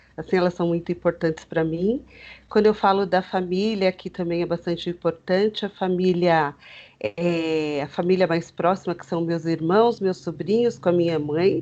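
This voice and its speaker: A woman speaks at a moderate pace with a fairly low pitch and fairly even intonation against a quiet background. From Greater São Paulo, Brazil (Osasco). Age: 40s. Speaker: teacher with fibromyalgia, interviewee. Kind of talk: interview, personal testimony. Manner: hesitant, many fillers.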